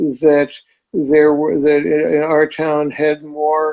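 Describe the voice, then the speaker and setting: Fairly even intonation marks this man's speech, delivered at a very slow pace. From US Northeast, Boston area. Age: 60s. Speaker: physician and amateur violinist. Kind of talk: interview conversation. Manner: halting, many fillers and restarts.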